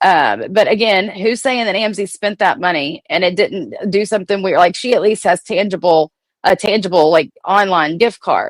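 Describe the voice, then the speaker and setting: An animated tone runs with hardly any pauses and ordinary pitch variation. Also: woman, medium pitch for a woman, dry, close sound with no echo. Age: 40s. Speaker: livestream commentator on reality TV drama. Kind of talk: casual livestream rant. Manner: fast.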